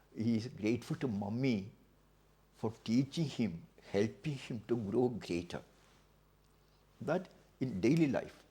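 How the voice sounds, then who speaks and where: A man's somewhat breathy, dark and mellow voice at medium pitch, with lively intonation, a fairly slow pace and long, frequent pauses. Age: 80s+. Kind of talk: interview answer.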